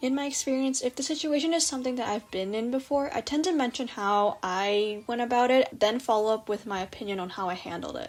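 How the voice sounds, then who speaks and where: Talking at a fairly quick pace in a normal speaking voice, a woman keeps a fairly high pitch with ordinary pitch variation. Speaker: storytime animator. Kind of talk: advice narration for animation.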